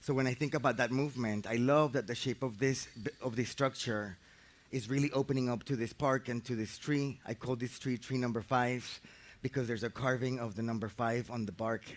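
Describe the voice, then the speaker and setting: A man with a Spanish accent and fairly even intonation. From Colombia, Medellin. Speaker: architect and facilitator. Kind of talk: guided meditation introduction talk. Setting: outdoors in a park. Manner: halting, repeats words.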